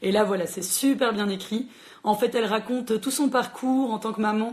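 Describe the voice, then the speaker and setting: Somewhat breathy, a woman's voice sits at a fairly high pitch with ordinary pitch variation. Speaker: librarian hosting a book chat. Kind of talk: live social media book chat. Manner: fast; animated.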